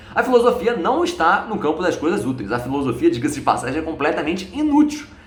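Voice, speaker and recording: A man with a high voice talks at a very fast pace, his pitch swinging very widely, with noticeable background noise and audible room echo. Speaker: philosophy YouTuber. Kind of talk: video lecture.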